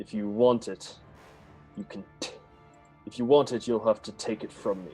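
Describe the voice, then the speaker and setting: Over clear music in the background, a man does a put-on character voice, guttural and medium in pitch, at a moderate pace. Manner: defiant, gruff.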